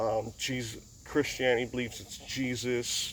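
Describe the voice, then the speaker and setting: This is a man with an Upper Midwest accent. His pitch sits in the medium range. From US upper Midwest. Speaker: YouTuber, racing fan. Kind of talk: casual vlog monologue. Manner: halting.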